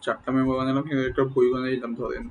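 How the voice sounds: Showing little pitch movement, a man talks at a very fast pace. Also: medium pitch for a man.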